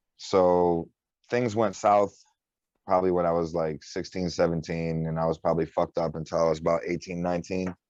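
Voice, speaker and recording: Very deep and low, a man's voice with a Detroit accent runs at a fairly quick pace in a monotone, flat intonation over a quiet background. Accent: Midwestern US (Detroit area). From Michigan, Detroit area (Warren). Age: 20s. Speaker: underground rapper. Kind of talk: casual interview.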